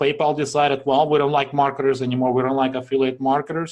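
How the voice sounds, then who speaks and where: Speaking with a strong non-native accent, a man has a fairly high pitch. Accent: strong foreign. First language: not English. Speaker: online marketing webinar presenter. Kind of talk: sales pitch. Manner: casual, filler-heavy.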